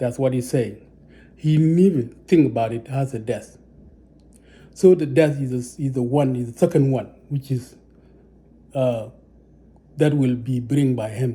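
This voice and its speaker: A man with a non-native accent, dark and mellow in tone, somewhat breathy, medium-pitched, fairly slow, with long, frequent pauses and ordinary pitch variation. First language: not English. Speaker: religious teacher. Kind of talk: religious teaching monologue. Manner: halting, many repetitions.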